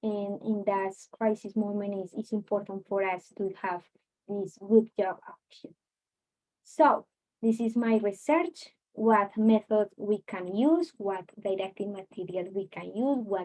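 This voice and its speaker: A woman's medium-pitched voice with a Latin American accent, dark and mellow in tone, fairly slow, with ordinary pitch variation, big swings in loudness and a dry, close sound with no echo. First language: Spanish. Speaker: student and online Spanish teacher. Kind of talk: research presentation. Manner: halting, many fillers.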